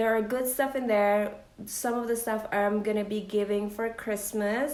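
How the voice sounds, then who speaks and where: Fairly high-pitched woman's voice with audible room echo. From Philippines, Bacolod City. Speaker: lifestyle vlogger. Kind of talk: unboxing vlog, casual talk to camera. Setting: at home by the Christmas tree.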